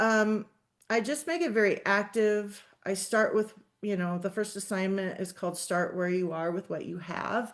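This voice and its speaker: A woman speaks in an ordinary speaking voice at medium pitch, with ordinary pitch variation and a moderate pace. The background is quiet. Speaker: social work professor. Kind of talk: webinar presentation.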